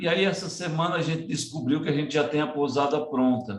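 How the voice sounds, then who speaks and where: A man's plain, everyday voice, fairly high-pitched, at a moderate pace with ordinary pitch variation. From Ceará, Northeast Brazil, rural. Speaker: community education project leader. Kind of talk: presentation in online panel conversation.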